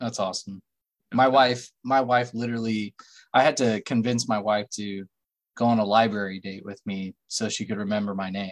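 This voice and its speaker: A man speaks in a normal speaking voice at a moderate pace, his fairly low pitch held in fairly even intonation while his loudness swings widely. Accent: American. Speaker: podcast co-host. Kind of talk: casual chat.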